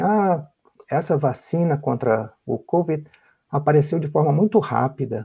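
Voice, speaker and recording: A man speaks with vocal fry, a fairly high pitch, and a dark, mellow tone. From Brazil, Rio de Janeiro. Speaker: biomedical researcher. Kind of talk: interview.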